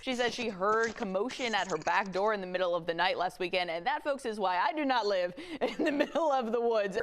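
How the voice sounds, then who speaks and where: Over noticeable background noise, a woman speaks at a fairly quick pace with hardly any pauses. Her fairly high voice has lively intonation and very even loudness. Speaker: television news anchor and investigative reporter. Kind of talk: broadcast news anchor delivery, reel of news reads and live interviews. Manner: upbeat, chatty.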